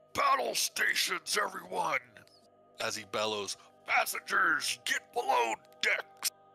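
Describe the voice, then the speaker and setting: Faint music plays behind a man using a gruff, put-on character voice at a fairly slow pace. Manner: bellowing orders.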